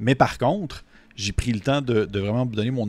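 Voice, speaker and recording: With a Quebec accent, a man talks at a fairly quick pace with ordinary pitch variation. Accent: Québécois French. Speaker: tabletop RPG reviewer. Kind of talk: video review monologue. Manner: hesitant, with frequent fillers and repetitions.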